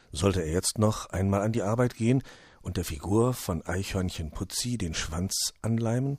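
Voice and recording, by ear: Ordinary pitch variation from someone reading aloud in a natural voice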